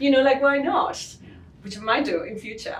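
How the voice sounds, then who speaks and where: A woman speaks with a Spanish accent. Noticeable background noise and audible room echo surround her voice. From southern Spain, Cádiz. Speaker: leatherworker and business owner. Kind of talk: interview.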